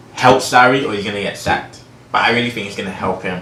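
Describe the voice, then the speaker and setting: There is noticeable background noise and audible room echo around the man speaking. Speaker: sports channel host. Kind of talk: casual sports commentary vlog.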